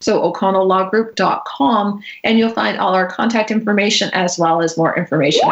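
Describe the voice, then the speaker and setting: A normal speaking voice with an American accent moves at a fairly quick pace with ordinary pitch variation, very even loudness and hardly any pauses. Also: woman. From Massachusetts (Natick, near Boston). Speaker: estate planning attorney. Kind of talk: radio interview.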